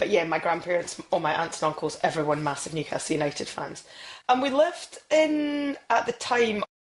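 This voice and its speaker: Speaking in a Scottish accent, a woman moves at a fairly quick pace, her medium pitch making very wide swings. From Scotland. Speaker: football presenter. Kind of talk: podcast interview. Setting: podcast.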